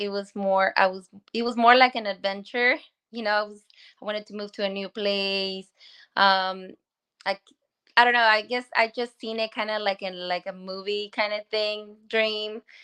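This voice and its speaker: A woman with a Spanish accent speaks fairly slowly at a fairly high pitch, with big swings in loudness. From Guanajuato, Mexico. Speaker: small business owner. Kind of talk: interview.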